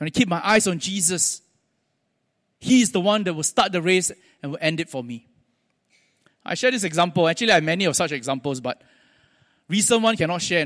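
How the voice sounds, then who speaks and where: On a very clean recording with a silent background, a man with a Singaporean accent talks at a fairly quick pace. His pitch is high and varies in an ordinary way. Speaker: preacher. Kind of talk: sermon. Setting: church.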